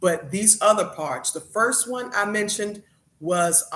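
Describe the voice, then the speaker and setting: A man with a Southern accent speaks with ordinary pitch variation. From the American South.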